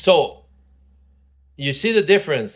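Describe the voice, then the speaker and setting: In a very clean recording with a silent background, a man with a Quebec accent speaks at a moderate pace with lively intonation. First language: French. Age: 60s. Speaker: vlogger. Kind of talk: casual monologue. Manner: halting, many fillers.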